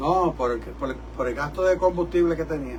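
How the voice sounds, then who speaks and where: A man speaks at a moderate pace. Audible room echo and noticeable background noise come through. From New York City, Puerto Rican family. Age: 70s. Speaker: rabbi and preacher. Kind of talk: sermon. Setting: church service broadcast from studio. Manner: animated.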